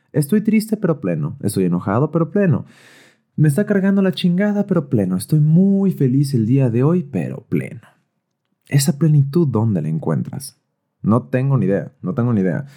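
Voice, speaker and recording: Swinging very widely in pitch, a man with a Mexican accent speaks at a fairly high pitch in a dark, mellow, somewhat breathy tone. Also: moderate pace. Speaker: podcast host. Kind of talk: personal monologue. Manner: casual.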